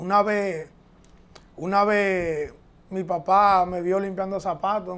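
At a very slow pace, a man speaks with a high pitch. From Dominican Republic, San Isidro near Santo Domingo; Dominican Republic. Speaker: professional baseball catcher; interviewee. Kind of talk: interview. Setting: at his home. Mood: relaxed, reflective. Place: studio. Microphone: lapel.

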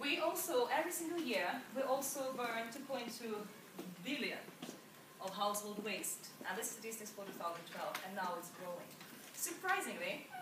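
Room echo is audible around the woman's voice. Background noise is noticeable too. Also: moderate pace. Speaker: presenter. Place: hall. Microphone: camera far.

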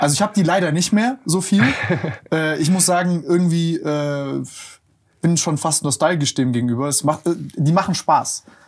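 A man speaks at a moderate pace in an ordinary speaking voice, fairly high in pitch with ordinary pitch variation. The background is quiet. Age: 20s. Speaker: podcast host. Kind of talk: casual interview chat. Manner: casual, colloquial. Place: studio. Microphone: lapel.

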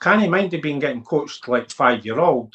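Against a quiet background, a man with a Lothians accent speaks fairly slowly at a fairly high pitch, with lively intonation. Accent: Scottish (Lothians). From Scotland, Midlothian (Dalkeith area); Scotland. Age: 40s. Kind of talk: interview. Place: home room. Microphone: video call.

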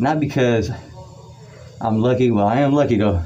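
A man's voice with music in the background. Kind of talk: motivational talk during a workout. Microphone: phone near.

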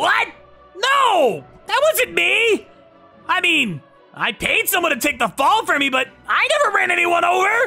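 The speech moves at a moderate pace while faint music plays in the background. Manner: cocky, then panicked pleading.

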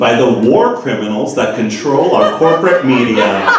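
A man speaks with lively intonation. Strong room echo surrounds him, and music plays in the background. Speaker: stand-up comedian. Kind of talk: stand-up comedy routine. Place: stage.

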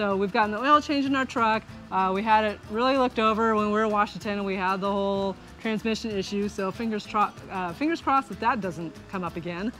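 Over faint music in the background, a woman speaks at a very fast pace. Her pitch variation is ordinary. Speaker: RV travel vlogger. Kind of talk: casual vlog chat. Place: garden. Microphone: phone near.

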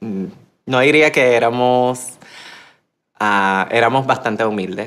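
Her pitch variation is ordinary. This woman talks at a very slow pace. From Puerto Rico. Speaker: human rights activist; interviewee. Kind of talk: interview. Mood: earnest, reflective. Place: studio.

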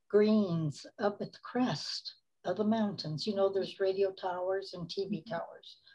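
The setting is quiet. Her pitch, a woman's, shifts in a typical way. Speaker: interview guest. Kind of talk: interview answer. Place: home room. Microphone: video call.

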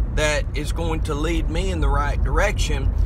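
A man at a fairly slow pace, dry sound with no echo, noticeable background noise behind him. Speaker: preacher or minister. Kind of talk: casual vlog sermon-like talk. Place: car. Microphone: phone near.

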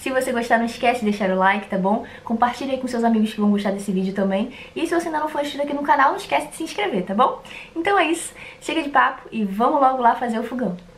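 Under light background noise, a woman talks at a very fast pace. Her intonation is lively. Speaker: craft video host. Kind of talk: casual vlog chat. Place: home room.

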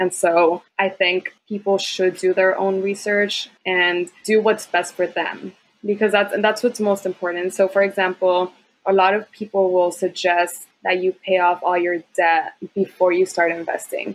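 A woman's medium-pitched voice with an American accent, fairly slow, in a monotone, flat intonation. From Texas border, Laredo; partly Guadalajara, Mexico. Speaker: first-gen college grad, accountant. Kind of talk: casual interview.

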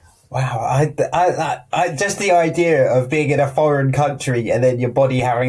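Against a quiet background, a man speaks at a moderate pace in a somewhat breathy voice with ordinary pitch variation. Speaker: podcast host. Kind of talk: casual chat. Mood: amused, laughing reactions. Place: home room. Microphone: earbuds.

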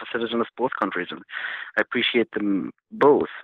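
A man with a Jordanian accent, medium pitch and a fairly quick pace. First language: Arabic. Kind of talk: interview conversation. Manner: halting, hesitant.

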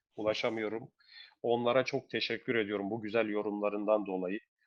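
A man's medium-pitched, monotone, flat delivery at a fairly quick pace. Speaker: betting tips channel host. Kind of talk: casual chat.

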